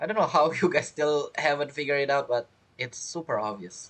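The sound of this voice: A man with a fairly bright tone, fairly high pitch, lively intonation and a fairly quick pace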